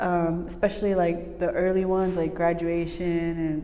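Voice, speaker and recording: A woman talks with a Spanish accent, and audible room echo is present. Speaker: recording and mixing engineer. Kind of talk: casual interview chat. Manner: halting, many fillers.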